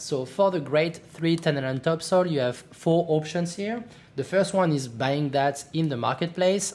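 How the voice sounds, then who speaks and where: A French accent at a fairly slow pace. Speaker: gaming youtuber. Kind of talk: tutorial. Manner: halting, many fillers.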